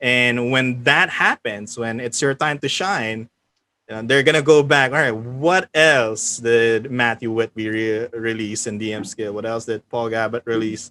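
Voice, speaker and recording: Very clean, with a silent background and a dry, close sound with no echo. A man speaks at a medium pitch in a bright, sharp tone. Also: ordinary pitch variation, fairly slow pace. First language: not English. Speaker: game writer and tabletop organizer. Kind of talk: casual chat.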